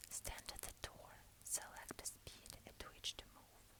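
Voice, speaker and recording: Whispering comes through at a fairly slow pace over noticeable background noise. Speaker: ASMR creator. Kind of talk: ASMR reading of instruction cards. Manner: whispered.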